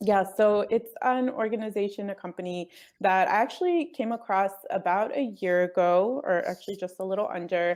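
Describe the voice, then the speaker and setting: A woman's medium-pitched voice with a Spanish accent in a very clean recording with a silent background. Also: ordinary pitch variation, moderate pace. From northern New Jersey, US. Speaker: travel blogger and company executive. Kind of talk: interview.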